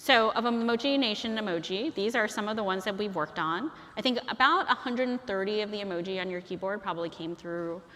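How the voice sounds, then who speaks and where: A woman speaks at a very fast pace and a medium pitch with ordinary pitch variation. Noticeable background noise sits behind her. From Chinese heritage, bilingual upbringing. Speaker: guest lecturer, emoji advocate. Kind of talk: lecture. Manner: casual, many fillers (um, like).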